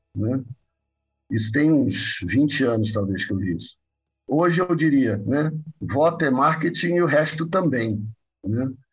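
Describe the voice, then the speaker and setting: Backed by music in the background, a man speaks at medium pitch with lively intonation, a fairly slow pace and long, frequent pauses. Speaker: psychoanalyst and professor. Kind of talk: interview.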